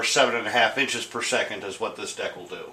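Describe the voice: A man's bright, sharp tone at a moderate pace, with audible room echo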